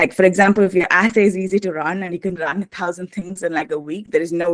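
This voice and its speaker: A woman talking at a very fast clip, her intonation fairly even. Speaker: protein design instructor. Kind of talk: lecture.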